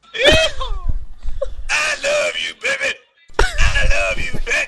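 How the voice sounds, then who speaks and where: A put-on character voice, shouting at an extremely high pitch and a very slow pace. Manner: affectionate, sugary.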